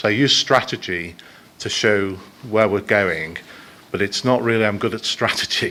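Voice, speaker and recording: The speaker, with a Liverpool accent, keeps a moderate pace broken by long, frequent pauses. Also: man, fairly low pitch for a man, ordinary pitch variation. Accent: Liverpool (Scouse) English. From Liverpool, northern England. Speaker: business executive. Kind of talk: conference presentation. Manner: halting, many fillers.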